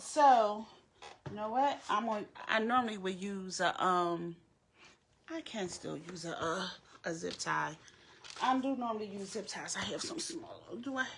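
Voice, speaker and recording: An American woman speaks at a fairly slow pace with long, frequent pauses. Her medium-pitched voice is somewhat breathy and swings very widely in pitch. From Philadelphia, US. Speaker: crafter. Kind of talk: live craft tutorial. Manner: halting, many fillers.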